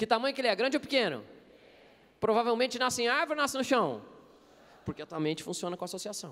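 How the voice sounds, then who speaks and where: The speaker is a man with an extremely high pitch. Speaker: preacher and interpreter. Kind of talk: sermon. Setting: stage with audience at a conference. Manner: fast.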